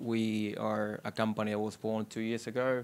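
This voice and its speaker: A man's medium-pitched voice with an Argentine accent, flat monotone intonation, and a very clean recording over a silent background. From Argentina. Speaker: technology executive. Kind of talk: panel discussion. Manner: halting, many fillers.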